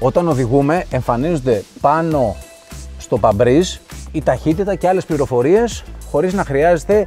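At a fairly slow pace, a man talks in a dry sound with no echo, with faint music in the background. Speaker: car reviewer. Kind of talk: product walkthrough commentary. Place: car. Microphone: lapel.

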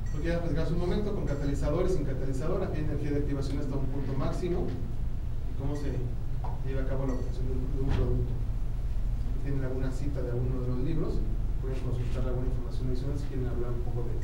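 A man talking at a very fast pace amid loud background noise and audible room echo. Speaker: chemistry lecturer. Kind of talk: lecture. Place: classroom. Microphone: camera far.

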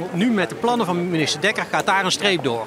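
A man's high-pitched voice with lively intonation, dry and echo-free, over noticeable background noise. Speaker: lawyer. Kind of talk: interview. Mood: concerned, earnest. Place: street. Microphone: handheld.

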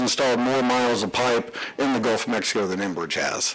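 There is noticeable background noise in this clip. A man speaks over it at a moderate pace. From Canada. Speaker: energy company executive. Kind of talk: conference presentation. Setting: conference stage with audience.

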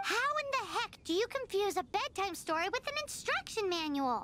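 Someone performs a put-on character voice at a moderate pace over clear background noise. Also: woman, extremely high pitch for a woman. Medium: fan dub. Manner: excitable, cheeky.

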